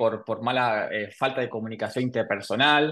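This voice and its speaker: A man speaks in a normal speaking voice. His pace is moderate and his pitch variation ordinary. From Argentina, Buenos Aires. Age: 30s. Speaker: podcast host. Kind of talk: casual interview chat.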